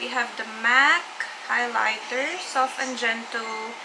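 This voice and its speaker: A woman is speaking. Background noise is noticeable. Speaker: beauty vlogger. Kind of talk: casual makeup tutorial chat. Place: home room. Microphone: camera far.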